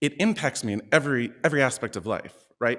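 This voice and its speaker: A man with an American accent at a moderate pace, lively intonation, on a very clean recording with a silent background. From Oregon. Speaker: performing artist. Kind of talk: personal storytelling.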